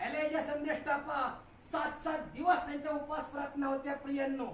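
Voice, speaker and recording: This is a man's voice. His pitch is extremely high. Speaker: pastor. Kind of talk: sermon preaching. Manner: fervent, repetitive, rhetorical.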